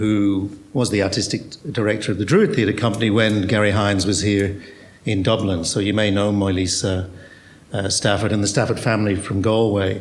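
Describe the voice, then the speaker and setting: A man speaks at a very even loudness with a fairly low pitch. His intonation is flat and monotone, and room echo is audible. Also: fairly quick pace. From Australia. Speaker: theatre director. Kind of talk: panel discussion. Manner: hesitant, repetitive.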